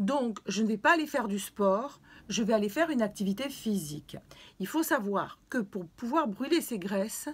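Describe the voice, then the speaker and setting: Lively in intonation and somewhat breathy, a woman speaks at a fairly high pitch on a very clean recording with a silent background. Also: moderate pace. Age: 60s. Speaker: fitness and weight-loss vlogger. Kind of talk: video talk, advice to viewers. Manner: hesitant with fillers.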